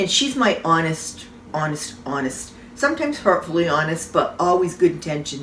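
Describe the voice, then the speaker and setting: The voice swings very widely in pitch at a moderate pace. Noticeable background noise runs underneath. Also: woman, fairly low pitch for a woman. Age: old. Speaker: salon owner. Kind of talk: casual talk to camera.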